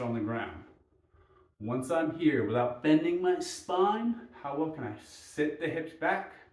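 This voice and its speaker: Noticeable background noise mixes with audible room echo as this man talks. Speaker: mobility coach. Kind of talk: follow-along exercise instruction.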